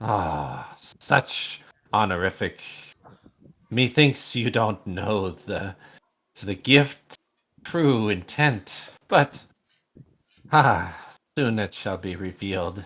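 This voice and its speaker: Putting on a character voice, a man speaks very slowly at a fairly low pitch, with long, frequent pauses. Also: very clean recording, silent background. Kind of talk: theatrical villain voice. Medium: actual play. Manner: archaic, sighing "ah".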